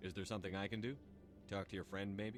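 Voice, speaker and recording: A man uses a put-on character voice, fairly low in pitch, at a very fast pace. Clear background noise runs underneath. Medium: video game. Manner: direct, firm.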